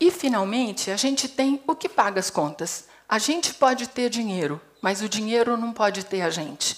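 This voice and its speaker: Amid noticeable background noise, a woman with a fairly high pitch talks at a moderate pace with very wide pitch swings. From Brazil, Paraná. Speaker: psychologist and HR consultant. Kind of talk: TEDx talk. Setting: stage with audience.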